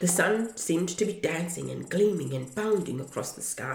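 Plain reading aloud comes with lively intonation.

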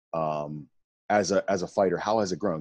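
A man's very deep, low voice at a moderate pace, dry and close with no echo, over a quiet background. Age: 30s. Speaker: podcast host, retired Muay Thai fighter. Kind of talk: casual interview chat.

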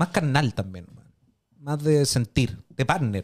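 In a Chilean accent, a man talks at a very slow pace. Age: 30s. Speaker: podcast co-host. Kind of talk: casual chat.

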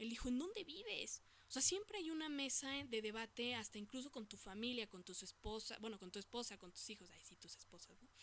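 Her voice is high and her intonation lively. The woman speaks at a fairly quick pace. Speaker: podcast host. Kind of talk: casual monologue. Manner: animated.

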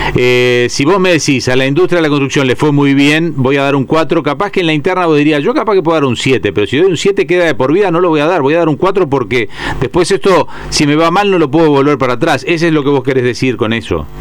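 Against noticeable background noise, a man talks at a very fast pace with very even loudness and hardly any pauses. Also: fairly high pitch for a man, ordinary pitch variation. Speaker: radio host. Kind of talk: radio interview.

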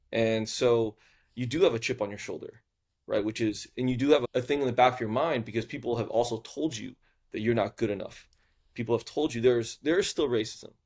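The recording is very clean with a silent background, and a man talks at a fairly quick pace with a medium pitch. His intonation is fairly even, and it is a normal speaking voice. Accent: American. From US South (Houston, Texas). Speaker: venture capitalist. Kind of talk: interview conversation.

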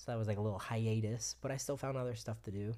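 With an American accent, a man speaks very fast in a fairly low pitch, his tone dark, mellow and somewhat breathy, his intonation lively. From Florida. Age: 30s. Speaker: film production crew member. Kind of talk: casual chat.

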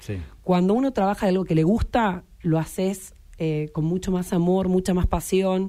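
At a moderate pace, a woman speaks at a medium pitch. Her tone is dark and mellow. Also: ordinary pitch variation. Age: 30s. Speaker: local government official. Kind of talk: radio interview. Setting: radio studio.

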